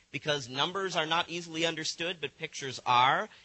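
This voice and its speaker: Loud and fairly quick, a man speaks with an American accent. His pitch is high, with ordinary variation. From US Northeast (Buffalo, New York). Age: 40s. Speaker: supercomputing center director, keynote speaker. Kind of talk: conference keynote lecture.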